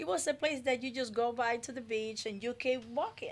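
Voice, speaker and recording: A woman with a Dominican accent, lively intonation and a moderate pace. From Dominican Republic. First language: Spanish. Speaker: community development advocate. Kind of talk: radio interview. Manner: halting.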